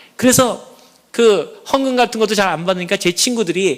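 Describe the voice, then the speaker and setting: Over noticeable background noise, a man talks in an animated tone at a moderate pace. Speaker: church elder. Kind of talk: testimony. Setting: church.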